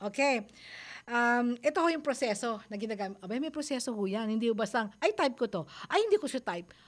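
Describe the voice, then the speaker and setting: Speaking at a fairly quick pace, a woman swings her pitch very widely on a very clean recording with a silent background. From Philippines, Manila. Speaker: radio advice host. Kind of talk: radio advice talk show. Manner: halting, many fillers.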